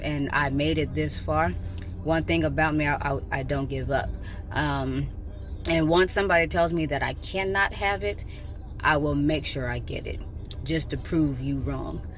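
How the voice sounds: Fairly slow pace with ordinary pitch variation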